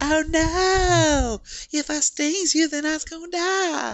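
A put-on character voice, high in pitch, drawls along at a very slow pace. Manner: annoying, creepy.

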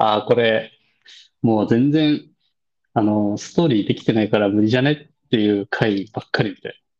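A man speaks at a moderate pace with medium pitch and ordinary pitch variation. His loudness swings widely. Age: 30s. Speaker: podcast co-host. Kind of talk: casual chat.

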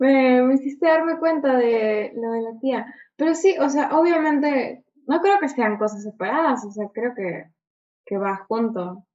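A woman with a Peruvian accent and a high pitch speaks at a fairly slow pace with lively intonation. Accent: Peruvian Spanish (Lima). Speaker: film podcast co-host. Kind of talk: casual chat.

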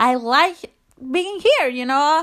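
The speaker, with a non-native accent, uses very wide pitch swings. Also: woman. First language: not English (learning English). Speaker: podcast host. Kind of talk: casual monologue, confessional. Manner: halting, rambling; animated, emotional.

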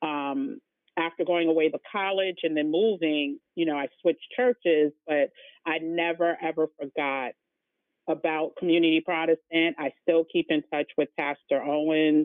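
A plain, everyday voice speaks at a moderate speed. Its pitch varies ordinarily, with an American accent. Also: woman, fairly low pitch for a woman. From New York City, the Bronx. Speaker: travel business owner, former magazine employee. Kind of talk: casual interview.

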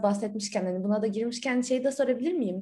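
A woman's dark, mellow voice sits fairly high in pitch, with ordinary pitch variation. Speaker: podcast co-host. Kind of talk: interview.

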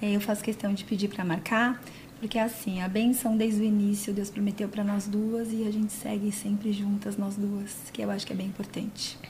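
A woman speaks at a medium pitch and a moderate pace. Her intonation stays monotone and flat. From São Paulo city, Brazil. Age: 40s. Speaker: body piercer and physiotherapist. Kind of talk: casual chat. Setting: studio.

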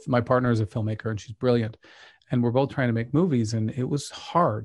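With an American accent, a man talks in an ordinary speaking voice at medium pitch and fairly even intonation. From Utah, Pleasant Grove. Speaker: documentary filmmaker. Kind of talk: casual chat.

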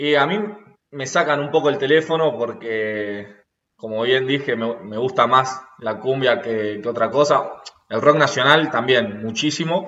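The man's pitch is medium. It varies in an ordinary way. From Argentina, Rosario. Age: 20s. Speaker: rugby player. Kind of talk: interview. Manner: hesitant, repeats words.

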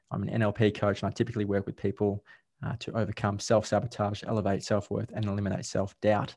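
Talking very fast, a man with an Australian accent keeps a monotone, flat intonation. His pitch is fairly low. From Australia, Victoria. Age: 30s. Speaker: life coach. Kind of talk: casual interview chat. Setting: video call.

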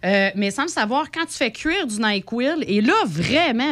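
This woman speaks at a moderate pace with a fairly high pitch and very wide pitch swings. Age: 30s. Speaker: radio columnist. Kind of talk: casual chat. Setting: studio.

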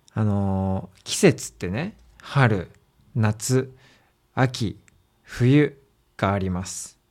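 A man with a fairly low pitch and ordinary pitch variation speaks at a very slow pace with big swings in loudness and long, frequent pauses, in a very clean recording with a silent background. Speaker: language teacher podcaster. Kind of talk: learner podcast monologue. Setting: at home. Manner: slow, simple clear speech for learners.

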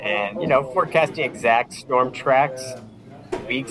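Ordinary pitch variation at a moderate pace, with noticeable background noise behind. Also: man. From Vineland, Niagara, Ontario, Canada. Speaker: weather forecaster. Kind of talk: interview. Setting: video call.

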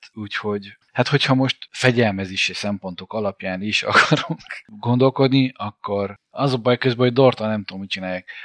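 A man with a medium pitch and a normal speaking voice talks at a moderate pace with hardly any pauses, ordinary pitch variation and big swings in loudness, in a dry, close sound with no echo. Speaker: basketball podcast co-host. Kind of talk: casual chat.

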